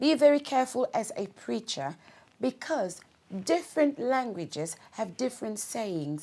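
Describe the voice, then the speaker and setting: On a very clean recording with a silent background, a woman speaks at a moderate pace with a fairly high pitch and a dark, mellow tone. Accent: Congolese. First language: Lingala. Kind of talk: talk-to-camera advice video.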